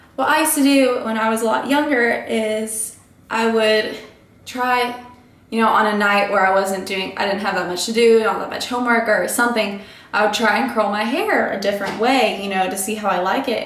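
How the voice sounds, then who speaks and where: With noticeable background noise and audible room echo, a woman speaks at a moderate pace in a fairly high voice with ordinary pitch variation. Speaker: beauty vlogger. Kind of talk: tutorial. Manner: casual, chatty.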